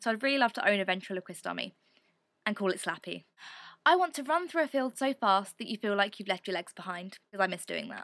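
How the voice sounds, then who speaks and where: In an English accent, a woman talks very fast with a bright, sharp, animated tone and lively intonation. The recording is very clean, with a silent background and a dry, close sound with no echo. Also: medium pitch for a woman. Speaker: video blogger. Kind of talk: vlog monologue.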